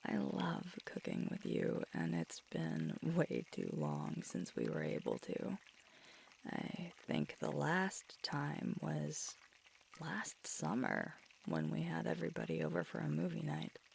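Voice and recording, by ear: A woman's put-on character voice, low-pitched and slow, with big pitch swings, a slightly husky edge, a slightly mellow tone and vocal fry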